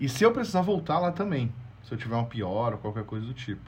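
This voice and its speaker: A somewhat breathy man's voice at a medium pitch, with very wide pitch swings. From Brazil. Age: 30s. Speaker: journalist. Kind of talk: storytelling interview.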